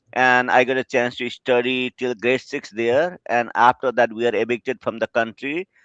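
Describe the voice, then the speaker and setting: A man with a Nepali accent speaks at medium pitch and a moderate pace, with fairly even intonation and hardly any pauses. The sound is dry and close with no echo, over a quiet background. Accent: Nepali (South Asian) English. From Bhutan, refugee camps in Nepal. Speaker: over-the-phone interpreter. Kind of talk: interview on live web show.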